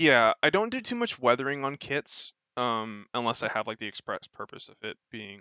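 A man's medium-pitched voice at a moderate pace, an ordinary speaking voice with ordinary pitch variation. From United States. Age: 20s. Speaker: model kit builder and streamer. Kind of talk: casual chat.

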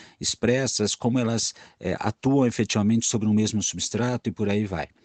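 This man talks at a moderate pace in a fairly low pitch, his dark, mellow tone and ordinary pitch variation captured in a dry, close sound with no echo. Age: 40s. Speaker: biologist. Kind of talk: recorded voice message answers to a discussion group.

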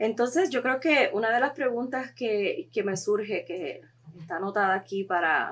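A woman with an ordinary speaking voice talks at a fairly high pitch and a fairly slow pace, her intonation lively. The recording is very clean, with a silent background. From Puerto Rico. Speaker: podcast host. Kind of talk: interview.

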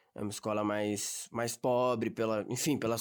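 The speaker is a man. He talks in a São Paulo accent. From Brazil, São Paulo ABC region. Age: young. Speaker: young worker. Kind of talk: casual interview. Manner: casual slangy.

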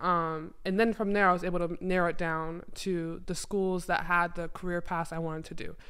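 The speech moves at a moderate pace in a monotone, flat intonation, with audible room echo. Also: woman, fairly low pitch for a woman. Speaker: former college basketball player. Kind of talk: casual chat.

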